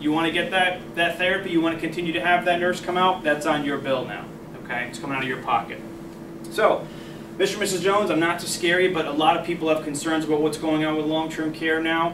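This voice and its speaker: A man speaks very fast at a high pitch with monotone, flat intonation. Audible room echo and noticeable background noise fill the recording. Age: 20s. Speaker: sales manager training new agents. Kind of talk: sales training presentation. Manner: conversational, frequent okay fillers.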